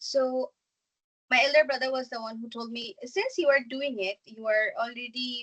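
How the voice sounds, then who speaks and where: A woman's high-pitched voice comes through dry and close with no echo. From Bangladesh. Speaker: small business founder. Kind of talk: presentation. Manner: fast.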